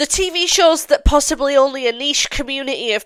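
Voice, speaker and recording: A woman with a British accent at a fairly quick pace, over noticeable background noise. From England. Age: 20s. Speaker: YouTuber. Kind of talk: casual vlog commentary.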